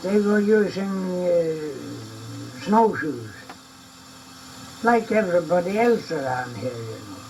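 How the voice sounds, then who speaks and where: Over noticeable background noise, a man speaks very slowly with long, frequent pauses, a high pitch, very wide pitch swings and big swings in loudness. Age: 80s+. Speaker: ski pioneer, trail builder. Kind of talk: interview answer.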